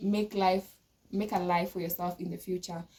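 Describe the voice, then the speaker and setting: A woman speaks at a moderate pace in a medium pitch, with a dark, mellow, somewhat breathy tone and flat, monotone intonation. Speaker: law student vlogger. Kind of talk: casual monologue to camera. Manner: hesitant, many filler sounds.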